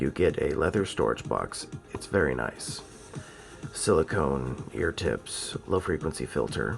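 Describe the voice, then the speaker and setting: Music plays behind a man with a very deep, low pitch who speaks at a fairly slow pace with lively intonation. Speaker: audio gear reviewer. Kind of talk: casual unboxing talk to camera. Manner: casual, informal.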